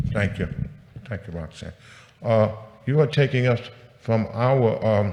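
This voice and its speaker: A somewhat breathy male voice in a very clean recording with a silent background. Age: 70s. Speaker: tenant association president speaking at public hearing. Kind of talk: public testimony. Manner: halting, repetitive fillers; impassioned.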